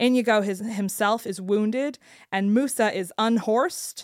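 A woman's fairly high voice, a plain, everyday voice with ordinary pitch variation. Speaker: podcast co-host. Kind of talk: casual chat.

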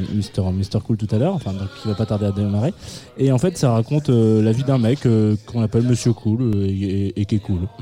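A man with a fairly low pitch speaks at a moderate pace with ordinary pitch variation. Background noise is noticeable. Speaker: radio host. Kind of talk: live radio show chat with music presentation. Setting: studio with live audience, also streamed on video. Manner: halting, many repetitions.

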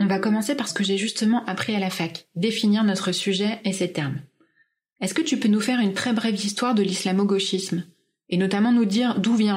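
At a fairly quick pace, a woman speaks in a calm tone with a medium pitch. Her voice is somewhat breathy, with ordinary pitch variation. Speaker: podcast host. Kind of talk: interview.

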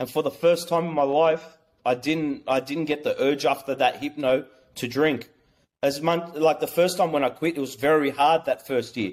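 With an Australian accent, a man speaks at a moderate pace in a fairly high pitch with fairly even intonation. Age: 30s. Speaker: small business owner. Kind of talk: personal testimony. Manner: halting.

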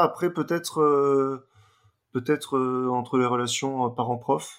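A man's bright, sharp tone at a fairly high pitch and a very slow pace. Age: 30s. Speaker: adult son of the couple. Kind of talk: interview testimony.

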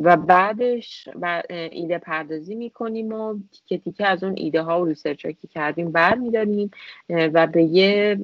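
This woman's pitch varies in an ordinary way. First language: multilingual, grew up with Persian, English and Turkish (speaking Persian). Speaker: UX and product designer. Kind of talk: interview conversation. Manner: hesitant with fillers.

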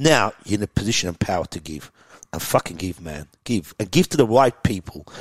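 A fairly low-pitched man in an Australian accent, at a fairly quick pace with lively intonation and big swings in loudness, in a dry, close sound with no echo. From Iran, raised in Melbourne, Australia. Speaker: tech entrepreneur. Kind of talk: podcast interview. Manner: animated.

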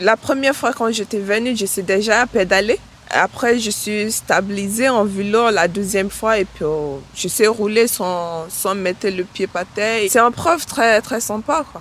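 A plain, everyday voice at a fairly slow pace, hardly any pauses, and ordinary pitch variation. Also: woman, medium pitch for a woman. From Nigeria. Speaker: cycling workshop participant, mother. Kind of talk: interview testimony.

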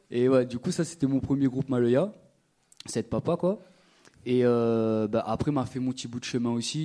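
A man speaks in a dark, mellow tone. His pitch varies in an ordinary way. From Réunion, Le Tampon (south). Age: 20s. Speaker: rapper and percussionist. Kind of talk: live panel conversation. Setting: stage with audience.

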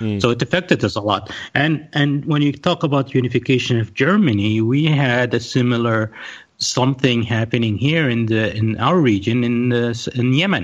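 Speaking with a Saudi accent at a moderate pace, a man holds a medium pitch with ordinary pitch variation and very even loudness over a quiet background. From Saudi Arabia, Riyadh. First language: Arabic. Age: 40s. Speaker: podcast panelist. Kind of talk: casual chat.

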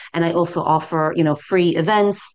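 A woman with an American accent speaks at a moderate pace and a fairly low pitch over a quiet background. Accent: American accent, retained. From US, New York City. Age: 60s. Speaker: yoga teacher. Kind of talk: interview.

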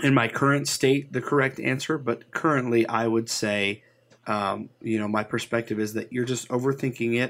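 A man's unremarkable speaking voice at medium pitch, fairly even in intonation and moderate in pace, on a very clean recording with a silent background. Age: 30s. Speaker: podcaster. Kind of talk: casual chat.

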